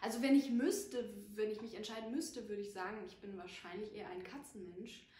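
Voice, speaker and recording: Somewhat breathy and fairly high-pitched, a woman speaks with lively intonation amid audible room echo. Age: 20s. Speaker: actress; actress introducing herself. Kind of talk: casual chat. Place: home room.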